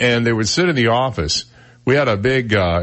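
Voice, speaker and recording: A man is speaking. His voice is booming. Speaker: radio talk show host. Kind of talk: conversational broadcast style.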